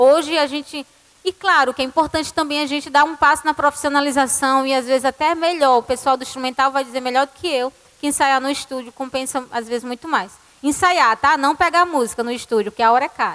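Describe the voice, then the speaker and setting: Fairly quick, high-pitched female speech with fairly even intonation. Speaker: church music ministry leader. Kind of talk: conference talk.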